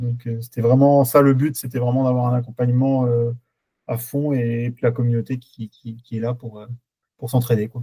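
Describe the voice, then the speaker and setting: A man of medium pitch has a dark, mellow, somewhat breathy tone and monotone, flat intonation. His moderate pace comes with big swings in loudness. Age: 20s. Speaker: truck driver, coaching client. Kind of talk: testimonial interview. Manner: halting, many hesitations.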